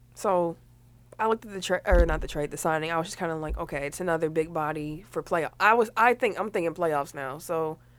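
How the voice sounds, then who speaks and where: In a very clean recording with a silent background, a woman with an ordinary speaking voice talks at a fairly quick pace, her pitch fairly low with ordinary variation and her loudness swinging widely. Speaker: sports podcast co-host. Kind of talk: casual sports banter, laughing.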